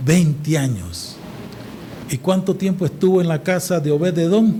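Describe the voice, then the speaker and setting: A man talks at a fairly slow pace and high pitch with ordinary pitch variation. Noticeable background noise and audible room echo are present. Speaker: preacher. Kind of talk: sermon. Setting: church service with congregation. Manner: deliberately slow today.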